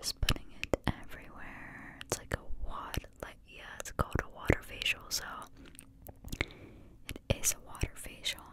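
A soft-spoken woman whispers at a fairly slow pace. Light background noise can be heard. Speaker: ASMR creator. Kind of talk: soft-spoken ASMR role play. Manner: soft ASMR whisper, close to mic. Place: home room. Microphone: studio mic.

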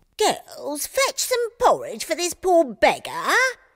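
The speaker uses a put-on character voice with extremely high pitch. The pace is fairly slow. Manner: commanding, kind.

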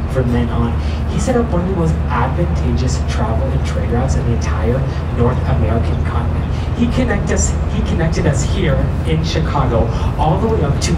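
The pace is moderate. Heavy background noise is loud throughout. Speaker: tour guide. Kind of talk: guided tour commentary. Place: boat.

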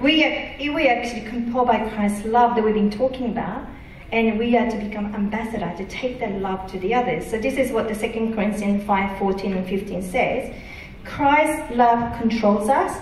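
Amid light background noise and audible room echo, a woman speaks at a moderate pace, fairly high-pitched with ordinary pitch variation. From Japan. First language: Japanese. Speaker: preacher. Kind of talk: sermon. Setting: church. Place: church.

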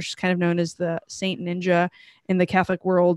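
A woman speaks at a fairly quick pace. The sound is dry with no echo, and the background is quiet. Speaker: show host. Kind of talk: live show introduction. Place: home room. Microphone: studio mic.

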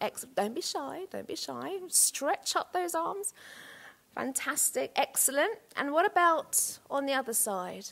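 Speaking at a fairly slow pace, a woman's high voice moves through very wide pitch swings. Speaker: art teacher and school leader. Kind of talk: lecture. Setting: stage with audience. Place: hall. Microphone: headset.

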